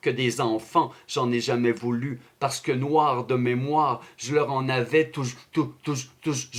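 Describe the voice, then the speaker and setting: The pace is fairly slow as a man talks. His intonation stays fairly even. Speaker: slam poet. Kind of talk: slam poetry performance.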